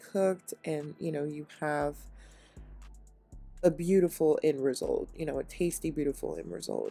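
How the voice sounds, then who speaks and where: Music plays behind a woman with an upbeat tone. She talks at a moderate pace with ordinary pitch variation. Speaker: home cook. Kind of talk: cooking tutorial voiceover. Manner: casual, upbeat.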